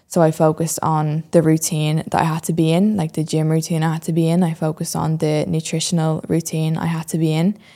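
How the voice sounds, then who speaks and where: A woman with a Dublin accent talks very fast, with hardly any pauses, in a very deep, low pitch. Her tone is dark and mellow, her intonation monotone and flat. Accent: Irish (Dublin). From Ireland, Dublin. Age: 20s. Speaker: podcast host and fitness transformation storyteller. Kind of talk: solo podcast monologue, personal story. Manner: hesitant with frequent fillers.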